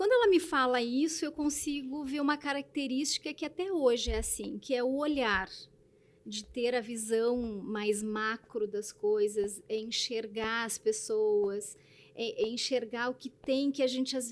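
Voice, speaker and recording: Fairly slow speech from a woman, high in pitch, with ordinary pitch variation. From southern Brazil, Blumenau (Santa Catarina). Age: 40s. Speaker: presenter, manager and writer. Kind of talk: interview.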